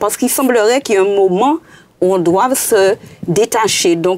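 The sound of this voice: This woman speaks at a moderate pace with a medium pitch and ordinary pitch variation. Her tone is slightly mellow.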